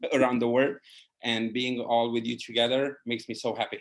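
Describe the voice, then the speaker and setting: A medium-pitched man's voice in a Hungarian accent, monotone and flat, at a moderate pace. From Hungary. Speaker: wine writer and educator. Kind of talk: casual chat.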